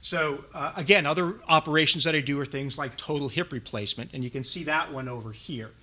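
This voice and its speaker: The voice has a bright, sharp tone. It moves at a fairly quick pace with ordinary pitch variation. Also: man. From New York. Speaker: orthopedic surgeon and navy reserve officer. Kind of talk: lecture. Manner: fast.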